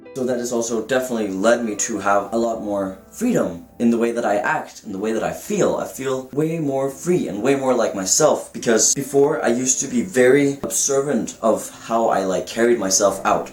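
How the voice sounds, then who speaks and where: With music in the background and audible room echo, a man speaks at a moderate pace in a medium pitch. His pitch variation is ordinary, and he barely pauses. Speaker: vlogger documenting gender transition. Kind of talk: personal vlog.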